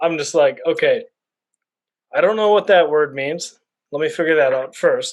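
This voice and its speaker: Mumbling at a moderate pace, a man leaves long, frequent pauses. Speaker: bookstagrammer. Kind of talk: casual chat.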